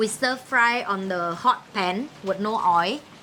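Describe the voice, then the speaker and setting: Amid noticeable background noise, a woman with a Vietnamese accent speaks in a fairly high voice with ordinary pitch variation. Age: young. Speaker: cooking show host. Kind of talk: casual chat.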